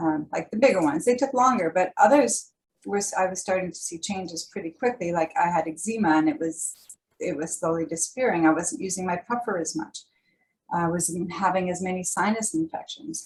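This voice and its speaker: With a Canadian accent, a woman talks at a fairly quick pace and medium pitch, somewhat breathy, with lively intonation. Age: 60s. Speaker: holistic nutrition presenter. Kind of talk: workshop presentation. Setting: video call.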